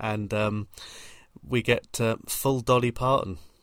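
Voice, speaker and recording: A man talks at a fairly slow pace. He has a plain, everyday voice. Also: very clean recording, silent background. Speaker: podcast host. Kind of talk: casual chat.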